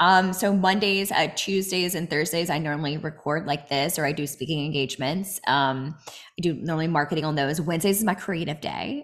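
A woman with a normal speaking voice talks at a fairly quick pace and fairly low pitch, with ordinary pitch variation and hardly any pauses. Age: 30s. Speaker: inspirational speaker and coach. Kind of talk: interview. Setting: remote call.

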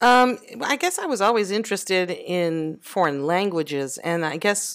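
In a normal speaking voice with an American accent, a woman with a fairly low pitch talks at a moderate pace with lively intonation on a very clean recording with a silent background. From US South, Louisiana. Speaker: mother of the host, expatriate. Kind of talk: casual interview.

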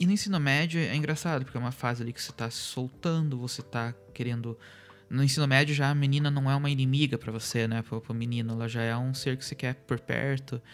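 On a very clean recording with a silent background, a man speaks at a very fast pace with fairly even intonation. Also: medium pitch for a man. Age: 30s. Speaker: podcast host. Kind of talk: solo monologue podcast. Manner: halting, many fillers.

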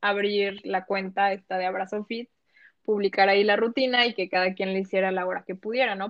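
A woman at a medium pitch speaks at a fairly quick pace in a monotone, flat way. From Mexico, Colima coast (Manzanillo), moved to Quintana Roo at 12. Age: 20s. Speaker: lawyer and fitness account founder. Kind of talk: casual interview chat.

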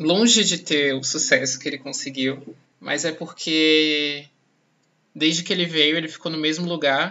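This is an unremarkable speaking voice from a man. He talks at a fairly slow pace with ordinary pitch variation. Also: fairly high pitch for a man. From Salvador, Bahia, Brazil. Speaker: journalism student and podcast host. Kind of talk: personal testimony.

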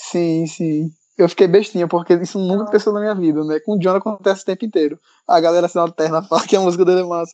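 Speaking very fast, a man with a high voice and a dark, mellow tone keeps his intonation fairly even in a dry, close recording with no echo. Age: 20s. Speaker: musician. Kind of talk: casual panel discussion.

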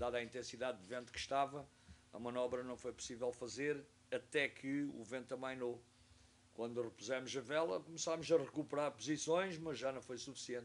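A man at medium pitch, with fairly even intonation and a fairly quick pace. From Portugal, Algarve (Faro). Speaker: sailing instructor and university professor. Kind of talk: interview, casual storytelling. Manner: halting, with hesitations.

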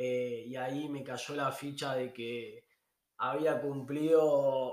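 A man with audible room echo. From Argentina. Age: 30s. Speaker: travel podcaster. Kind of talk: casual monologue.

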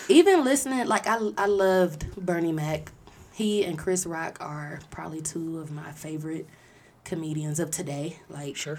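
A woman's fairly low-pitched, normal speaking voice with ordinary pitch variation. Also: moderate pace, big swings in loudness. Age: 30s. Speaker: podcaster, returning guest. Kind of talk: casual chat.

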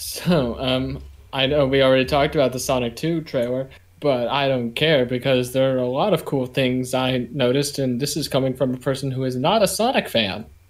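An ordinary speaking voice from a man, medium in pitch, at a fairly quick pace with ordinary pitch variation. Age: young. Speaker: podcast co-host. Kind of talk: casual chat.

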